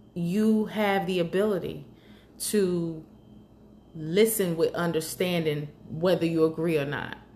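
A woman with an American accent, fairly low in pitch with a dark, mellow tone, at a very slow pace with ordinary pitch variation. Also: long, frequent pauses. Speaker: podcast host in healthcare. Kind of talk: casual monologue. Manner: loud, passionate.

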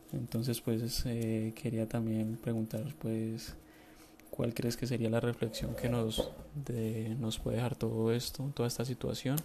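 An unremarkable speaking voice from a man, medium in pitch, fairly slow, with fairly even intonation. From Colombia. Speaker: listener sending voice message. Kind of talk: recorded voice message.

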